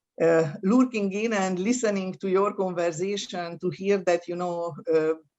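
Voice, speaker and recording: Speaking with a non-native accent, a woman keeps a moderate pace, a medium pitch, and fairly even intonation. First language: not English. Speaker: university associate dean. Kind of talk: welcome address. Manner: hesitant, many fillers.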